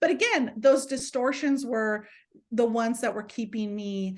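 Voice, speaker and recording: A woman speaks with a fairly high pitch and a somewhat breathy voice. Her pitch variation is ordinary. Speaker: empowerment coach and counselor. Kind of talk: podcast interview.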